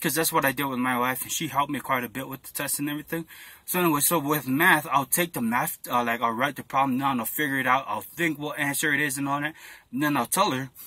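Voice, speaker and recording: Very fast speech from a man with a fairly high pitch, fairly even intonation and a bright, sharp tone. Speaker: army applicant vlogger. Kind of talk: casual vlog. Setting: in a car. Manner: casual, rambling with fillers.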